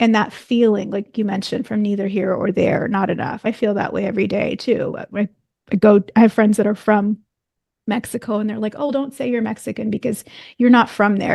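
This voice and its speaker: A woman's fairly high voice, dark and mellow in tone, with ordinary pitch variation and a dry, close sound with no echo. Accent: American. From United States. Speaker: podcast host. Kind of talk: interview.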